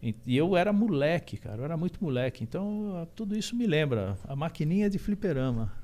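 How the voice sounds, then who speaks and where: Very wide pitch swings mark this fairly quick delivery with hardly any pauses, set against noticeable background noise. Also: man, fairly high pitch for a man. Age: 50s. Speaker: musician. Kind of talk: podcast interview. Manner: halting, many fillers and repeats.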